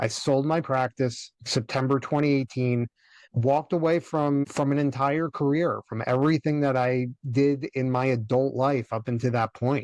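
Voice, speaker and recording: A man speaks in a plain, everyday voice at medium pitch and a moderate pace, with fairly even intonation. The sound is dry and close with no echo, over a quiet background. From US. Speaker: cash flow coach, former dentist. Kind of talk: podcast interview, personal story.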